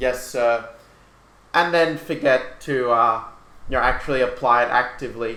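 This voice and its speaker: Audible room echo carries a man's medium-pitched voice, bright and sharp in tone, spoken at a moderate pace with an Australian accent. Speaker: chess grandmaster and coach. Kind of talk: lecture.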